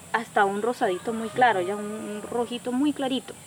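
Speaking at a moderate pace with ordinary pitch variation, a woman has a fairly high pitch, with noticeable background noise behind her. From Colombia, Caribbean region (Cesar). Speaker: artisan and community association leader. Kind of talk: testimony.

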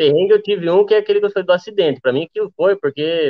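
This man talks at a very fast pace. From Rio Grande do Sul, Brazil. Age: 20s. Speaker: motorcycle traveler. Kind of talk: casual chat. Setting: live stream from the road.

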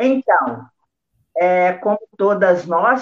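The woman's voice is medium in pitch. She speaks very slowly. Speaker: guest. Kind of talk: panel discussion.

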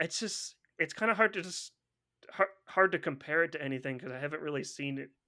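At a moderate pace, a man speaks with a bright, sharp tone, a fairly high pitch and ordinary pitch variation. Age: 30s. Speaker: podcaster and YouTuber. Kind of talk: casual chat.

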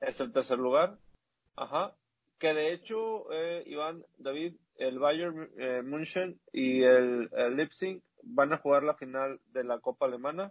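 With an unremarkable speaking voice, a man talks at a fairly slow pace and fairly high pitch, his intonation lively. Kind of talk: casual chat.

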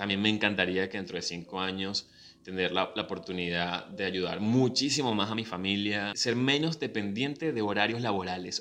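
With a Venezuelan accent and ordinary pitch variation, a man speaks over noticeable background noise. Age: 30s. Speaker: podcast host and professional announcer. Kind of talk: casual personal monologue. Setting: video recording.

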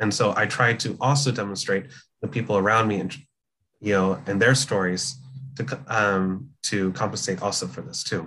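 Speaking with a General American accent, a man has a fairly low pitch and a bright, sharp tone. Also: ordinary pitch variation, moderate pace. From California, US. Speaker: comics journalist. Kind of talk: casual interview.

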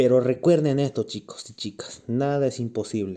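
The man's voice has a dark, mellow tone. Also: very clean recording, silent background. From Bolivia, Cochabamba. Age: 20s. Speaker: bodybuilding competitor and fitness coach. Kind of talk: casual fitness tips monologue. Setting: recorded while doing cardio.

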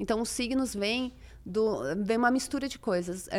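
A woman has a normal speaking voice with ordinary pitch variation at a fairly slow pace. Her recording is very clean, with a silent background. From Brazil. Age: 30s. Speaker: astrologer. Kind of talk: casual chat.

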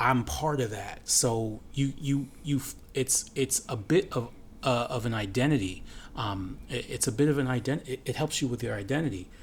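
Vocal fry runs through this man's medium-pitched voice, spoken with an American accent. His pitch moves an ordinary amount. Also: moderate pace. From United States. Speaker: podcast co-host. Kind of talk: casual chat.

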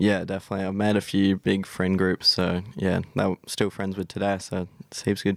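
A man with a very deep, low pitch speaks in a monotone, flat intonation at a moderate pace with hardly any pauses. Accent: Australian. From South Australia. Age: 20s. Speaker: YouTuber and scooter rider. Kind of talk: casual interview. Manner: hesitant, many fillers.

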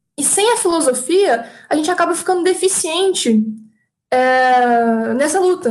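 A woman speaks with lively intonation. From Minas Gerais, Brazil. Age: 20s. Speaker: psychology student and YouTuber. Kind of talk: interview.

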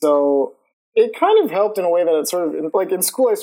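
A man's dark, mellow voice with an American accent at a very fast pace. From US South, Georgia (Lawrenceville, near Atlanta). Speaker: animator. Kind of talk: casual interview. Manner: hesitant, filler-heavy (uh, like).

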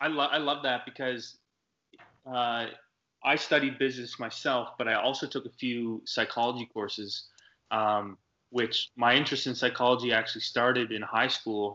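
A man with a normal speaking voice, medium pitch, moderate pace and fairly even intonation. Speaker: podcast co-host. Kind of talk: casual interview. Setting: video call.

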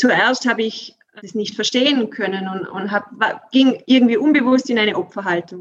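This woman talks at a moderate pace, her fairly high voice showing ordinary pitch variation. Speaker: workplace coach. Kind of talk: interview. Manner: animated; halting.

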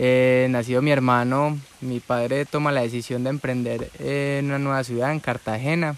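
Here a man talks at a moderate pace and medium pitch, with hardly any pauses and monotone, flat intonation. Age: 20s. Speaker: entrepreneur and podcaster. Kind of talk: personal storytelling monologue.

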